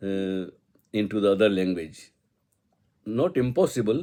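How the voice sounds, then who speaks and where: A man with an Indian accent speaks at a moderate pace in a fairly low, dark, mellow voice with ordinary pitch variation. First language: Hindi. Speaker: spiritual poet. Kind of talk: personal reminiscence. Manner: halting.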